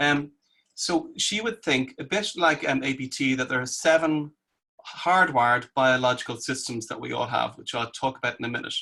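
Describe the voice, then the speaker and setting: Bright and sharp in tone, a man's medium-pitched voice moves at a moderate pace with ordinary pitch variation. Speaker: clinical psychologist and therapist trainer. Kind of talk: online presentation.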